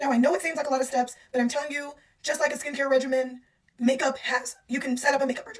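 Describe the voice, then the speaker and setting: Talking at a very fast pace, a woman uses a put-on character voice that is high-pitched, hoarse and raspy. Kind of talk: conversational, instructional.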